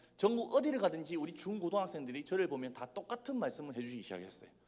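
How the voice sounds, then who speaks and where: A man speaks in a high pitch at a fairly quick pace. His pitch swings very widely. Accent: Busan. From Busan, South Korea. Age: 20s. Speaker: youth evangelist. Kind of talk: sermon. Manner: animated, joking.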